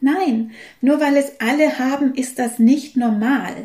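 A woman's dark, mellow voice moves with ordinary pitch variation. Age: 50s. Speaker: holistic health coach and podcast host. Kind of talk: solo podcast monologue.

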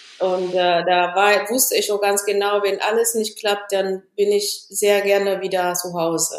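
The delivery is monotone and flat at a moderate pace. Hardly any pauses break it up. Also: woman, medium pitch for a woman. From Ethiopia. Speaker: engineer. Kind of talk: interview.

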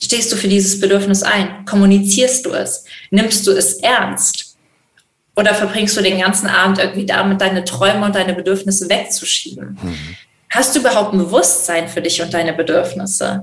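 Using an ordinary speaking voice, a woman of medium pitch talks at a moderate pace with fairly even intonation. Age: 20s. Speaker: animal welfare worker for monkeys. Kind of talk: casual interview. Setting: video call.

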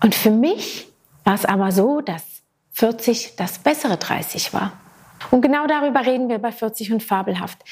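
Animated and fairly high, a woman's voice moves at a fairly slow pace with ordinary pitch variation and long, frequent pauses. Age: 40s. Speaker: podcast host. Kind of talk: solo podcast monologue.

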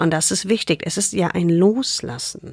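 A woman with a fairly low pitch uses lively intonation in a very clean recording with a silent background and a dry, close sound with no echo. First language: not German (speaking German). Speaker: gynecologist and author. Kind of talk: casual interview. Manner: informal, colloquial.

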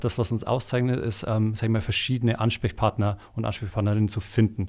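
Speaking at a moderate pace and medium pitch, a man keeps his intonation fairly even on a very clean recording with a silent background. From Bavaria, village near Eichstätt. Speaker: executive assistant and podcast producer. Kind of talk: casual chat. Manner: hesitant, many filler sounds.

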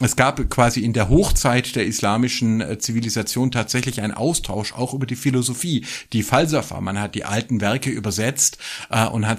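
With ordinary variation in pitch, a man speaks in a medium register. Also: very clean recording, silent background. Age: 40s. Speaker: religion scholar and podcast co-host. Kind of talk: casual chat. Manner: animated.

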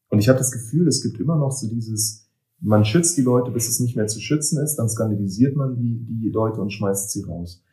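Fairly quick and somewhat breathy, a man talks at a medium pitch with ordinary pitch variation. His tone is dark and mellow. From eastern Germany. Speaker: poet and author. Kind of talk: casual interview conversation. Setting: in person, recorded in Berlin.

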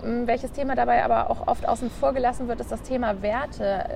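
A woman talks fairly fast while noticeable background noise carries on. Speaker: podcast host, bank employee. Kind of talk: interview. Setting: outdoors on a bench at the harbour.

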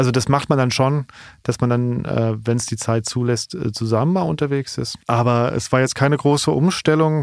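In a very clean recording with a silent background, a man speaks with an unremarkable speaking voice at medium pitch. His pace is moderate and his pitch varies in an ordinary way. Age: 40s. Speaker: stand-up comedian. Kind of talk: casual chat. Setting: studio.

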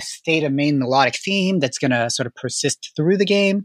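In a dry, close recording with no echo, a man with an unremarkable speaking voice talks at a moderate pace, his fairly high pitch carried by lively intonation. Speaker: composer. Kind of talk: interview.

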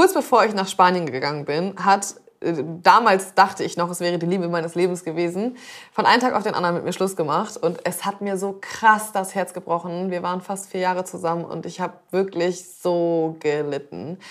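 With an unremarkable speaking voice, this woman has a medium pitch and ordinary pitch variation. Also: moderate pace. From northern Germany, Zeven between Bremen and Hamburg. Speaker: chef, podcast co-host. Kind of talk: casual chat.

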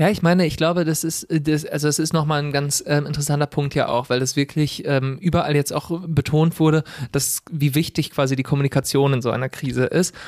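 An ordinary speaking voice moves at a fairly quick pace with fairly even intonation and hardly any pauses. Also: man, fairly high pitch for a man. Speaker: podcast co-host, audio-video editor. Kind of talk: casual political discussion.

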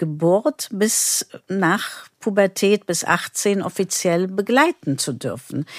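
A speaker with a non-native accent talks at a very slow pace. The recording is very clean with a silent background and a dry, close sound with no echo. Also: woman. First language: not German (speaking German). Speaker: pediatrician. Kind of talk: interview.

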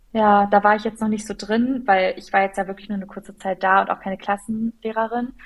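A woman of medium pitch talks at a fairly quick pace with hardly any pauses. Her intonation is monotone and flat, but her loudness swings widely. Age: 20s. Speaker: teacher trainee. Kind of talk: casual chat.

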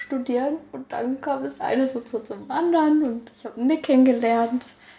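At a fairly slow pace, a woman speaks in a high pitch with a dark, mellow tone and ordinary pitch variation. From Germany, Karlsruhe. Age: 20s. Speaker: winemaker and yoga teacher. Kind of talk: interview.

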